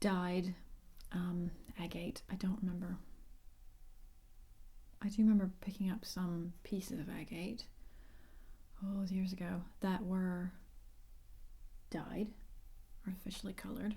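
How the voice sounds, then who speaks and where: Soft-spoken with an American accent, the speaker goes at a fairly slow pace with long, frequent pauses. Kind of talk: ASMR ramble to camera.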